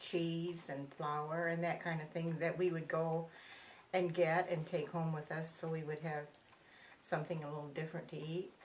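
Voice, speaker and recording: The speech holds a monotone, flat intonation and keeps to a moderate pace. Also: woman. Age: 80s+. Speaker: interviewee recalling the Depression. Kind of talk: oral history interview. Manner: halting.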